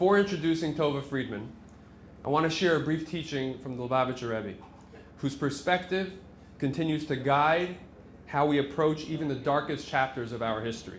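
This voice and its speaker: In an unremarkable speaking voice, a man with a fairly high pitch talks at a fairly quick pace with ordinary pitch variation. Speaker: rabbi, event host. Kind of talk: formal introduction speech.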